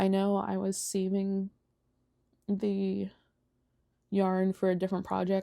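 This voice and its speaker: A soft-spoken woman with a dark, mellow tone, monotone, flat intonation and very even loudness, at a very slow pace with long, frequent pauses, in a very clean recording with a silent background. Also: medium pitch for a woman. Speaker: knitting and crochet vlogger. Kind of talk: casual chat. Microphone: mic close to speaker.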